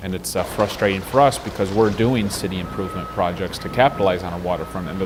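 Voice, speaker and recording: A man's very deep, low voice races along at a very fast pace against noticeable background noise. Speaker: city mayor. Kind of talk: interview answer.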